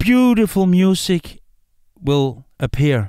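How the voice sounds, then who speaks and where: Speaking in a Danish accent, a man uses a high pitch. His pitch swings very widely. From Denmark. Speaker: musician and podcast host. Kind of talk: casual podcast monologue. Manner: animated; halting.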